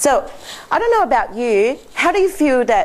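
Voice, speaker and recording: An animated woman's voice with a non-native accent, at a moderate pace. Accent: foreign. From Laos, Chinese family. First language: not English (English is her sixth language). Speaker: accountant, seminar speaker. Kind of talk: seminar presentation. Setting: stage with audience.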